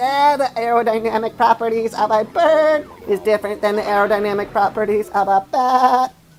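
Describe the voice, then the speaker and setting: A put-on character voice that sounds female runs at a moderate pace with hardly any pauses in a fairly high pitch. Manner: monotone, mechanical.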